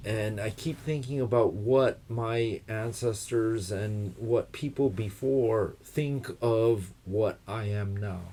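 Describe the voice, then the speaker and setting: Very slowly and with hardly any pauses, a man with an American accent speaks in a dark, mellow, somewhat breathy voice with fairly even intonation, in a very clean recording with a silent background. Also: medium pitch for a man. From United States. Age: 60s. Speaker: guest expert on trees and wood culture. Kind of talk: casual conversation. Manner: reflective, thoughtful.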